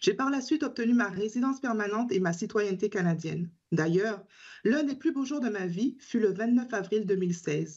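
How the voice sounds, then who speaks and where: A woman with a plain, everyday voice talks at a fairly quick pace against a quiet background. Her pitch is fairly high, with ordinary variation. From Caribbean island. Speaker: teacher and advocacy group spokesperson. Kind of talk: prepared testimony at a parliamentary hearing. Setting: parliamentary committee hearing.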